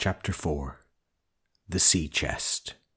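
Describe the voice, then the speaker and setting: A somewhat breathy man's voice at a fairly slow pace. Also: very clean recording, silent background. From Northern Ireland. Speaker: audiobook narrator. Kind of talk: audiobook reading.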